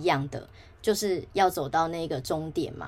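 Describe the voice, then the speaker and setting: A woman with a fairly low pitch talks at a moderate pace, with ordinary pitch variation. The recording is very clean, the background silent. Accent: Taiwanese. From Taiwan. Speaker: podcast host. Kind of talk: solo podcast monologue.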